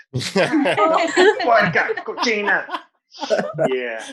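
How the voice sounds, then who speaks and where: Bright and sharp in tone, a man speaks with lively intonation. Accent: Venezuelan. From Venezuela. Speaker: stand-up comedian. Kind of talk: stand-up.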